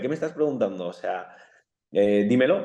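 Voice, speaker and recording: A man talks with a strong Bilbao accent and lively intonation. His pace is moderate. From Bilbao, Basque Country, Spain. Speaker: footballer. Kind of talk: interview.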